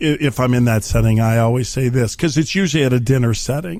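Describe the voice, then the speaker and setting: A man at a medium pitch and a fairly quick pace. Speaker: podcast co-host. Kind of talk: casual chat. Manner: animated.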